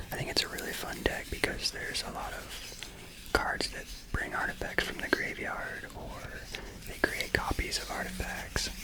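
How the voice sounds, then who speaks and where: Someone whispers over noticeable background noise. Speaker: ASMR content creator. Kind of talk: ASMR whisper talk to camera about a card game. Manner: whispered, soft-spoken, slow.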